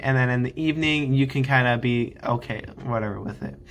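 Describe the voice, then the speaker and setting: Speaking loudly at a moderate pace, a man with a medium-pitched voice and a bright, sharp tone keeps a monotone, flat intonation. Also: very clean recording, silent background. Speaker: Air Force basic training graduate vlogger. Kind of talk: casual advice vlog. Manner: hesitant, filler-heavy.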